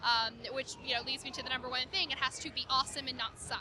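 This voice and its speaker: The woman's voice sits at a high pitch. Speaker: marketing lead for an indie game subscription company. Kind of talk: interview. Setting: gaming convention floor. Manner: fast.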